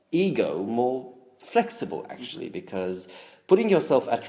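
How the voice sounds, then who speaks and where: A man speaks with a Romanian accent. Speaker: language enthusiast. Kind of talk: interview answer.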